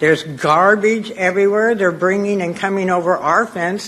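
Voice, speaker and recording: A woman speaks at a medium pitch with an American accent and fairly even intonation. Noticeable background noise runs under her voice. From Gilroy, California. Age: 70s. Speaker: public commenter. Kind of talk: public comment.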